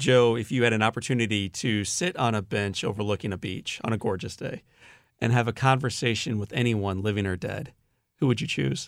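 A man with an American accent talks at a medium pitch and ordinary pitch variation, captured on a very clean recording with a silent background. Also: fairly quick pace. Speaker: podcast host and inspirational speaker. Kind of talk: interview. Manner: animated.

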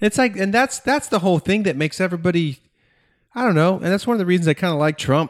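In an American accent, a man talks at a very fast pace with lively intonation and a high pitch. The sound is dry and close, with no echo. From US South (Georgia). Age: 30s. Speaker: podcaster. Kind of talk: casual chat. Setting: remote recording.

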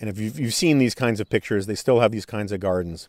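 With ordinary pitch variation, a man speaks at a fairly low pitch in a very clean recording with a silent background. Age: 50s. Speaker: podcast host. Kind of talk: solo monologue podcast. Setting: outdoors on a parking garage rooftop. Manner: halting with frequent fillers.

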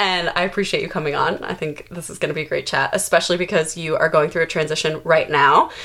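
Barely pausing, a woman rushes along at a very fast pace in a fairly low, monotone, flat voice, her loudness swinging widely over noticeable background noise. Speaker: podcast host. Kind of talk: casual interview chat.

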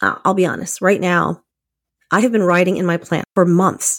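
A woman with fairly low pitch, vocal fry and an animated tone speaks at a fairly quick pace. The sound is dry and close with no echo, on a very clean recording with a silent background. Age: 50s. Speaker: podcast host. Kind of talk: casual solo monologue.

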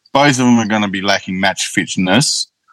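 A man speaks with an Australian accent at a moderate pace. His pitch is fairly low. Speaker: football fan. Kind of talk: casual chat. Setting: video call. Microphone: microphone technical problem.

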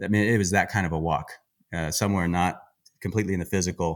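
Very deep and low, this man's voice moves at a fairly quick pace. The recording is very clean, with a silent background. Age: 40s. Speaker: chef and outdoorsman. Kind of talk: casual chat. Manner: animated.

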